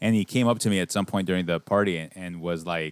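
On a very clean recording with a silent background and a dry, close sound with no echo, a man with an American accent speaks fairly quickly in a plain, everyday voice, his fairly low pitch showing ordinary variation. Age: 30s. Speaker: podcast co-host, movie reviewer. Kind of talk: casual chat. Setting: studio.

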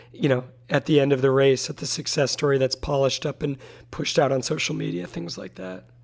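This man speaks at a fairly quick pace in a fairly high pitch. Noticeable background noise sits behind him. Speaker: interviewer. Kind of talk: interview conversation.

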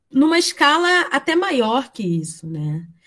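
This woman's high voice moves through very wide pitch swings. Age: 20s. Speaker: university student and community education coordinator. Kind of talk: interview.

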